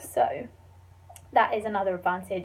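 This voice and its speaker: Somewhat breathy, a woman speaks at medium pitch with a British accent. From England. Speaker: student vlogger. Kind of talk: casual vlog Q&A. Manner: animated.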